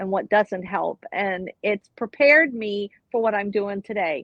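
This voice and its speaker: With an American accent, a woman uses an ordinary speaking voice at medium pitch with ordinary pitch variation. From Florida. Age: 60s. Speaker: retired nurse. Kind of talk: interview. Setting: live online show.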